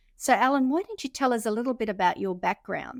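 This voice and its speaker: In a very clean recording with a silent background and a dry, close sound with no echo, a woman speaks with an Australian accent and ordinary pitch variation. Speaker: podcast co-host, magazine editor. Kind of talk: casual chat.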